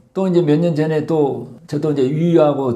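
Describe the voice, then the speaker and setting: There is audible room echo as a man speaks at a moderate pace in a dark, mellow tone. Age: 70s. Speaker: doctor and author. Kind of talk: interview testimony.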